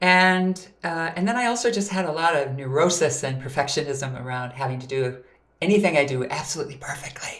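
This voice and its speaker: An American accent at a fairly quick pace, with lively intonation and audible room echo. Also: woman. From US Midwest, Minnesota. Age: 60s. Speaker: voice coach and singer. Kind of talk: interview.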